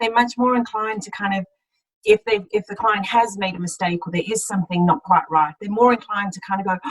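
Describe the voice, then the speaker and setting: Speaking very fast with a slight South African accent, a woman at a medium pitch uses ordinary pitch variation, her loudness swinging widely in a dry, close sound with no echo. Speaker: accountant, audit partner. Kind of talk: career talk in webinar.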